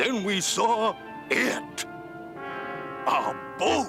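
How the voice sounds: Over loud music in the background, a man performs a cartoonish character voice.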